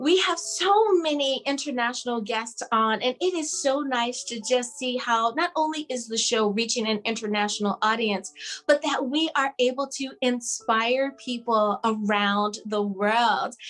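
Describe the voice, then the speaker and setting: A woman with an American accent speaks at a high pitch. Her pace is fairly slow, and her pitch variation is ordinary. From US East Coast. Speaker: talk show host. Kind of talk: interview. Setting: video call.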